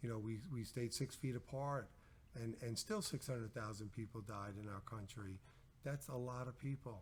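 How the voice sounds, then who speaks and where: The voice is somewhat breathy. Its pace is moderate. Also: man, medium pitch for a man, fairly even intonation. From Long Island, New York. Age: 60s. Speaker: business owner. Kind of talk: interview. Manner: repetitive, halting.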